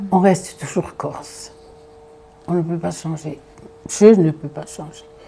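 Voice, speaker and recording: Delivered at a very slow pace with fairly even intonation, the speech swings widely in loudness while music plays in the background. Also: woman, very deep, low pitch for a woman. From Corsica. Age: 80s+. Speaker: elderly storyteller recalling childhood. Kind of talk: personal reminiscence. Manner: halting, many hesitations and repetitions.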